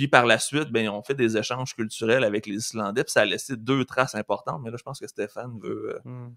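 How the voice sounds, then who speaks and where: With a Quebec accent, a man talks at a fairly quick pace with hardly any pauses and fairly even intonation. His tone is bright and sharp, his loudness swings a lot, and the background is quiet. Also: dry sound with no echo. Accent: Québécois French. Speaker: teacher and podcast co-host; teacher, podcast co-host. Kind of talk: casual chat. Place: home room. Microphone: studio mic.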